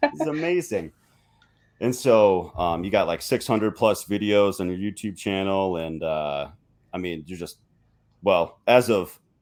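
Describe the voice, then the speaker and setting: A man with an American accent, in an ordinary speaking voice, talks at a fairly slow pace with a fairly low pitch and ordinary pitch variation. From Minnesota. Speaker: podcast host. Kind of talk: interview.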